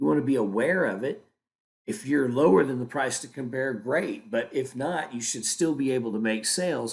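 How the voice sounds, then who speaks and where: With an American accent, a man talks at a medium pitch with vocal fry. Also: quiet background. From Oklahoma, US. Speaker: sales trainer. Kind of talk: tutorial.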